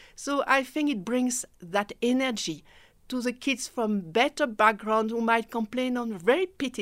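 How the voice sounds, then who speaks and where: A woman with a French accent speaks at a fairly slow pace in a fairly high voice. The recording is very clean with a silent background. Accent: French-speaking. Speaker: mentorship program director. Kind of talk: radio interview. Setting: radio studio.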